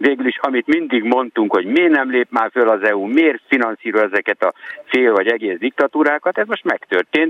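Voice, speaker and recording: A man speaks in a normal speaking voice at a medium pitch and a fairly quick pace. His intonation is lively and his loudness very even. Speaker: foreign correspondent. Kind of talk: radio discussion. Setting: remote line from Vienna.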